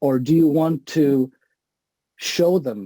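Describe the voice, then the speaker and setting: A man's dark, mellow voice in a Portuguese accent, dry and close with no echo, in a very clean recording with a silent background. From Portugal. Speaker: acupuncture researcher and lecturer. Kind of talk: lecture. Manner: halting, repeats words.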